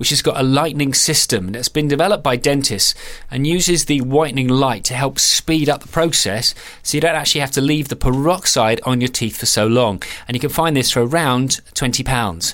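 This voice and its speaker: Against noticeable background noise, a man with a fairly high voice speaks at a moderate pace. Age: 40s. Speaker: podcast host. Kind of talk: product review; interview.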